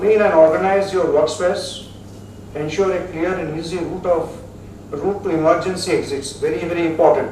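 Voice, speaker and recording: At a moderate pace, a man with a high pitch talks in a monotone, flat intonation, with noticeable background noise and audible room echo. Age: 70s. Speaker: metallurgy specialist. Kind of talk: lecture. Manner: halting.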